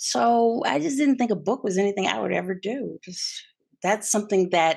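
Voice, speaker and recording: Against a quiet background, a voice with vocal fry and lively intonation moves at a moderate pace. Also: woman, medium pitch for a woman. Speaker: author and former TV journalist. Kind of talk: interview.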